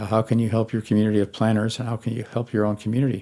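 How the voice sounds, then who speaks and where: Dark and mellow in tone, a man's voice sits at a fairly low pitch, with an American accent. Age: 90s. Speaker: retired city planner. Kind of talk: interview.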